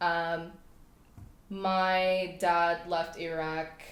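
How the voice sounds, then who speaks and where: In a room with audible echo, a woman speaks with fairly low pitch and monotone, flat intonation. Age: 20s. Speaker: clothing brand founder. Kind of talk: casual interview chat.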